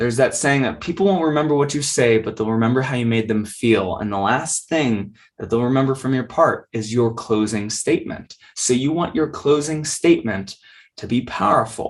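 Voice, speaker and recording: Pitched in the medium range, a man's voice shows ordinary pitch variation. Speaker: public speaking coach. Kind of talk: lecture. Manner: fast.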